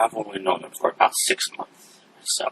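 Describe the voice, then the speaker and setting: Here a man uses a put-on character voice. He keeps a moderate pace. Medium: actual play. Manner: defiant, zealous.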